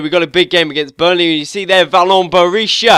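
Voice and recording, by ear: A man's nasal, high-pitched voice, bright and sharp yet clear and smooth in tone, with fairly even intonation at a fairly quick pace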